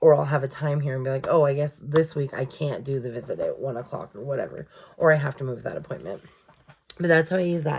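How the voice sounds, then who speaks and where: A woman's very deep, low voice at a very fast pace, with fairly even intonation. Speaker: journaling vlogger. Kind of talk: casual chat.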